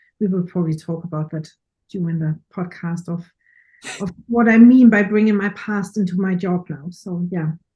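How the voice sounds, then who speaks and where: A woman speaks in a fairly low pitch with a dark, mellow tone. Her voice is somewhat breathy, with ordinary pitch variation. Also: moderate pace. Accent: German. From Germany. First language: German. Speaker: professional photographer and speaker. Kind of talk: casual interview chat.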